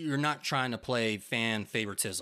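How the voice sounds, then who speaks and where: A man's medium-pitched, normal speaking voice with ordinary pitch variation. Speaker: film podcast co-host. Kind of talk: casual chat. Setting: remote recording.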